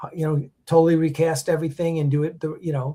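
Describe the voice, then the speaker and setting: Speaking at a fairly quick pace, a man uses a fairly high pitch and a dark, mellow tone. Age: 60s. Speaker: podcast host and film producer. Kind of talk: casual chat. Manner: halting, many restarts and fillers.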